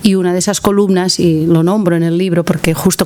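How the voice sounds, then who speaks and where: A woman with a Catalan accent speaks at a moderate pace and a fairly low pitch. Noticeable background noise runs underneath. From Catalonia, Spain (Tarragona area). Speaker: author and columnist on parenting. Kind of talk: book presentation talk to an audience. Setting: library conference room with audience. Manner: halting, with many repetitions.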